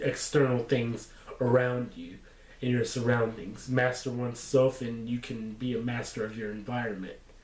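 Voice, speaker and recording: With audible room echo and noticeable background noise, a man speaks in a monotone, flat intonation at medium pitch. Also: moderate pace. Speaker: vlogger giving life advice. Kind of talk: casual vlog monologue. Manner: halting, with false starts; laid-back.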